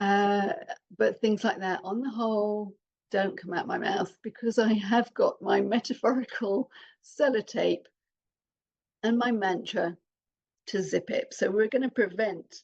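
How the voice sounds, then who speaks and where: Speaking in a British accent, a woman uses a fairly high voice at a fairly slow pace, with ordinary pitch variation and long, frequent pauses. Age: 60s. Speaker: parenting coach, adoptive mother. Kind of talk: podcast talk to listeners.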